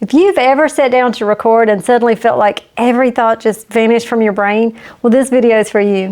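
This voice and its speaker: A woman with an unremarkable speaking voice talks fairly quickly at a fairly high pitch, keeping her intonation fairly even. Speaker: YouTube business coach. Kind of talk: casual talk to camera. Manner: friendly, conversational.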